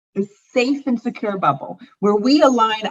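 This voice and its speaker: An unremarkable speaking voice with an American accent. The pitch varies in an ordinary way. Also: woman. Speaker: founder of a women's networking organization. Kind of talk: casual interview conversation.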